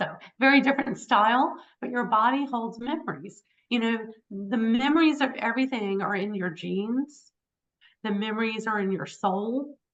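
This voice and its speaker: Here is a woman with an American accent and an ordinary speaking voice. She talks at a moderate pace with a fairly high pitch. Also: ordinary pitch variation. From Virginia (Richmond). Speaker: hypnotherapist and author. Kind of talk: interview. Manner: conversational, many fillers.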